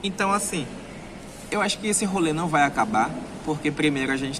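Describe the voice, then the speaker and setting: A man with a northeastern Brazilian accent and lively intonation, amid audible room echo and noticeable background noise. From Brazilian Northeast. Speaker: travel vlogger. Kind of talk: vlog monologue. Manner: animated, emphatic.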